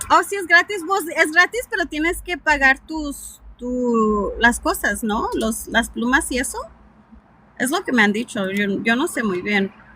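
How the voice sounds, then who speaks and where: Against noticeable background noise, a woman with a slight Mexican accent speaks at a moderate pace in a high, raised and projected voice, with very wide pitch swings. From Southern California (Mexican-American, born Mexico City). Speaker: live streamer. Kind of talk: casual chat. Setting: in a car.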